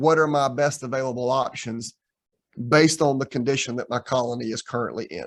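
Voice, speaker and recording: With a plain, everyday voice, a man speaks fairly quickly at a fairly high pitch with ordinary pitch variation. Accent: American. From US South. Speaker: professor. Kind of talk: lecture. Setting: video call.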